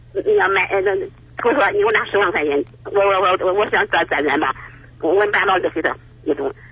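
A man rattles off his words at a very fast pace against noticeable background noise. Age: 80s. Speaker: caller seeking advice. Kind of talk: call-in advice conversation. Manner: halting, repeats words.

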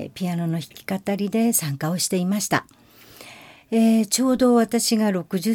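A woman's dark, mellow voice on a very clean recording with a silent background. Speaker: podcast host, amateur singer-pianist. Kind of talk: casual monologue.

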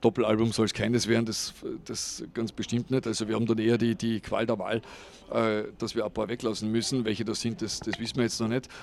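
The voice belongs to a man. It holds a medium pitch. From Austria, East Tyrol. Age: 50s. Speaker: radio morning show host and musician. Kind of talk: interview.

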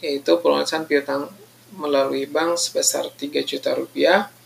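Noticeable noise sits in the background. The pace is moderate. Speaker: accounting lecturer and auditor. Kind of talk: lecture. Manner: halting, many fillers.

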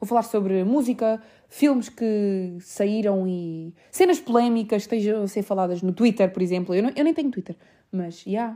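Her tone dark and mellow, a woman speaks with a European Portuguese accent at medium pitch, moderate pace, and ordinary pitch variation. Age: 20s. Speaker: podcast host. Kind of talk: casual monologue.

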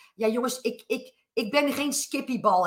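Speaking at a moderate pace, a woman has a high pitch, a bright, sharp tone and ordinary pitch variation. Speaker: business coach and podcaster. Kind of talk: live talk to audience. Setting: live recording with audience.

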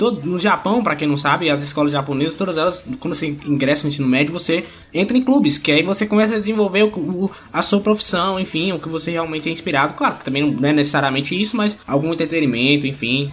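This man talks at a very fast pace with hardly any pauses, his fairly high pitch carried by lively intonation. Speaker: podcaster. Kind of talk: casual chat.

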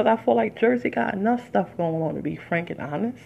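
Speaking at a moderate pace, a woman delivers her words in an animated tone. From Detroit, US Midwest. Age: 40s. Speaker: podcast host and artist. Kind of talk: casual solo monologue. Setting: home recording with background music.

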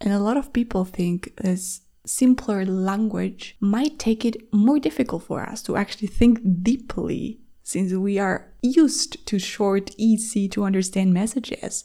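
A woman at a fairly slow pace with hardly any pauses, medium pitch, ordinary pitch variation, and a dark, mellow, somewhat breathy tone, in a very clean recording with a silent background. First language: Spanish. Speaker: language teacher and podcast host. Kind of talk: educational monologue for English learners.

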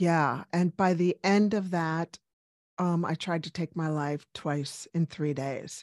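A woman speaks at a very slow pace with a fairly low pitch and fairly even intonation. The sound is dry and close, with no echo. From US, Cuban-American family, Washington DC. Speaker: medical doctor. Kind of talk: interview.

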